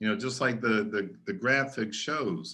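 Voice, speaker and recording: An unremarkable speaking voice with an American accent and ordinary pitch variation. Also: man. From US, Maryland. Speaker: education speaker, futurist. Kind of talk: webinar lecture. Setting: online webinar.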